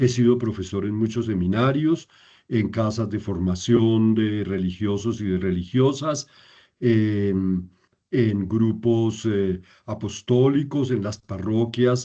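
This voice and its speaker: In a dark, mellow tone, a man speaks at medium pitch with ordinary pitch variation and a very slow pace against a quiet background. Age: 70s. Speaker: priest and Bible teacher. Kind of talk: lecture. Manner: halting, many fillers.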